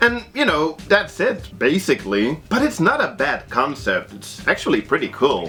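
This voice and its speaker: The speaker is a man with a Dutch accent. He keeps a moderate pace. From Netherlands. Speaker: movie reviewer. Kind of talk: video review commentary. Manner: hesitant, frequent word repetitions.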